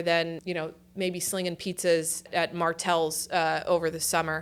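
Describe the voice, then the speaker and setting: A woman speaks at a moderate pace with a New Jersey accent. Her tone is bright and sharp, on a very clean recording with a silent background. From New Jersey Shore, Point Pleasant Beach. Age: 40s. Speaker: university company executive. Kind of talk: interview. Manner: casual, hesitant with fillers.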